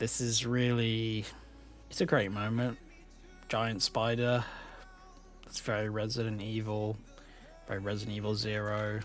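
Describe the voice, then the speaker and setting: Music plays in the background while a man talks. His pitch is medium and his pace moderate. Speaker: gaming YouTuber. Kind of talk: casual gameplay commentary voice-over. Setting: home recording, low-quality mic. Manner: rambling, with filler words.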